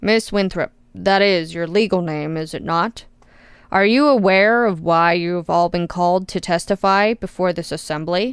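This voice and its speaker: Putting on a character voice, a woman speaks at a moderate pace and medium pitch with ordinary pitch variation. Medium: read story. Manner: bored, smug, nonchalant.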